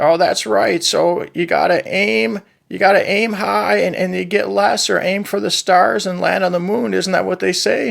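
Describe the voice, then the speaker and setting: In a cartoonish character voice pitched high, a man talks at a moderate pace with hardly any pauses. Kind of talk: comedic puppet talk show on politics and environment. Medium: puppet. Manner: funny, folksy.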